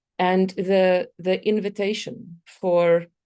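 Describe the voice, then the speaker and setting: A woman with a South African accent and a dark, mellow tone. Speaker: complexity consultant and speaker. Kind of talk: conference talk. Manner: hesitant, many fillers.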